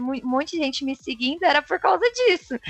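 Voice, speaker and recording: The pitch swings very widely. Background noise is noticeable, and the sound is dry and close with no echo. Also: woman. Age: 20s. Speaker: software quality assurance professional. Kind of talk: casual interview chat.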